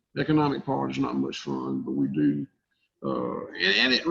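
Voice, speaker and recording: A man is talking. His accent is Southern US. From US South, south Georgia. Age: 60s. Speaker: cattle farmer. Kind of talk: podcast interview. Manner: halting.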